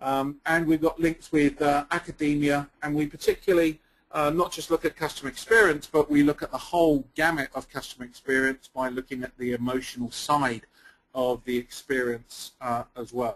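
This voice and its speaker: At a moderate pace, a man with an English accent speaks at a fairly high pitch with fairly even intonation. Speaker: company founder and CEO. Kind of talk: webinar presentation. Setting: webinar call. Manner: hesitant, many fillers.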